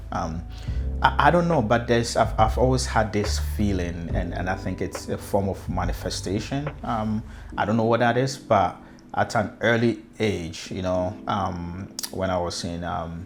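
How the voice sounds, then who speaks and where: A man with a Ghanaian accent speaks at a very deep, low pitch, fairly slowly, with lively intonation. Music plays in the background, and audible room echo is present. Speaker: customer experience consultant. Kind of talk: personal story telling. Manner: halting, many fillers and repeated words.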